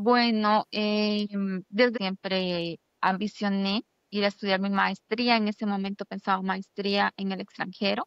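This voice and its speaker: Her intonation is monotone and flat. The woman speaks at a fairly slow pace with a medium pitch. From Honduras, San Pedro Sula. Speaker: doctoral student. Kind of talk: interview.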